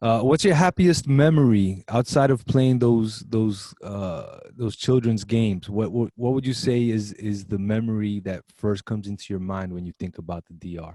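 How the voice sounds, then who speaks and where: This man has a Brooklyn accent, a fairly low pitch and a dark, mellow tone, with ordinary pitch variation and big swings in loudness. He talks at a moderate pace with hardly any pauses, and the sound is dry and close with no echo. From Brooklyn, New York. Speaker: college show host. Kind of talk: interview. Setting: video call.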